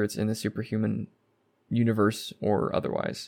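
The recording is very clean with a silent background, capturing a man with a fairly low-pitched voice. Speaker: podcast host. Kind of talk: solo podcast monologue. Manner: little inflection, reserved; hesitant, many fillers.

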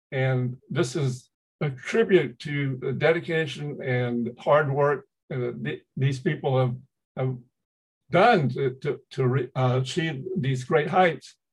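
Very slowly, a man speaks in a somewhat breathy voice. His pitch is fairly high and varies in an ordinary way. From US South, Macon, Georgia. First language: Chinese. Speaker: retired professor and historian, author. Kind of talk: interview.

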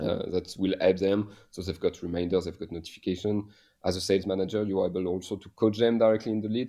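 A man speaks with a French accent. His voice is fairly low in pitch, with a dark, mellow tone. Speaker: head of sales at a software company. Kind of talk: interview. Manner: halting.

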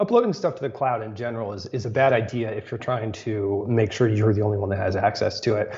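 This man talks at a very fast pace with hardly any pauses. His medium-pitched voice is somewhat breathy, and his intonation stays fairly even. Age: 30s. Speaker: tech reporter. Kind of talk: casual chat.

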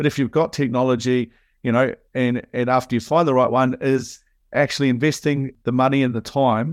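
Speaking in a New Zealand accent, the voice moves at a fairly quick pace with fairly even intonation against a quiet background. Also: man. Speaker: software consultant. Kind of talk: casual interview chat. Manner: halting, many fillers.

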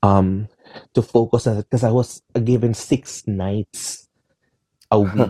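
A man speaks very slowly in a fairly low, somewhat breathy voice with a dark, mellow tone and flat, monotone intonation. Long, frequent pauses break up his speech, and the sound is dry and close with no echo. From Philippines. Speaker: singer and entertainer. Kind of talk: interview conversation.

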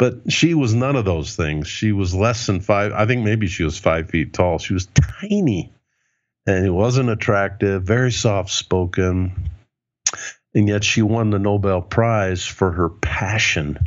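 This man has a plain, everyday voice, pitched fairly low with ordinary variation. He speaks at a fairly slow pace. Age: 60s. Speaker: leadership author and speaker. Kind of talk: interview.

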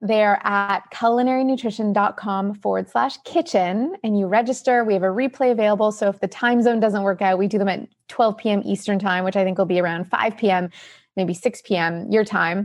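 A woman's normal speaking voice with a Canadian accent, medium in pitch with ordinary pitch variation, at a fairly quick pace, very even in loudness, over a quiet background. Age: 40s. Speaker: nutritionist and author. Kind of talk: interview.

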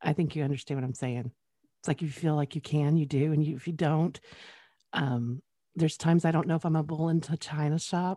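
Against a quiet background, in a dry, close sound with no echo, a woman talks at a fairly quick pace in a very deep, low pitch, with fairly even intonation and a dark, mellow tone. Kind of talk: interview, casual chat.

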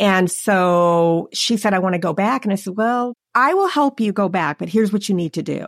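In a very clean recording with a silent background, a woman uses an ordinary speaking voice, medium in pitch, at a moderate pace with ordinary pitch variation. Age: 50s. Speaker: insurance agent and podcast host. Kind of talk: casual chat.

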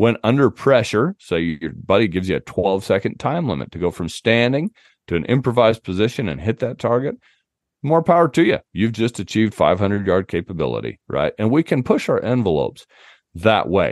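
A man with an American accent, medium-pitched with vocal fry, at a fairly quick pace with very wide pitch swings. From US West, southern Utah. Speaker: outdoor writer and hunting podcast host. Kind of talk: casual interview chat.

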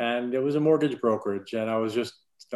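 A man talks with an American accent at a medium pitch. The background is quiet. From Florida (Clearwater). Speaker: entrepreneur, bank CEO. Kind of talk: interview.

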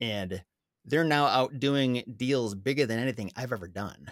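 A man with a medium-pitched voice. His intonation is lively, an ordinary speaking voice. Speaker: blogger and real estate investor. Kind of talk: casual interview chat.

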